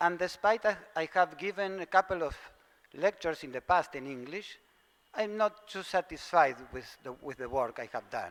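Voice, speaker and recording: With a Spanish accent, a man speaks in a high pitch. His intonation is lively and his pace moderate. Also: big swings in loudness. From Argentina. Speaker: theosophical lecturer. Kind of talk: lecture. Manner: halting, hesitant.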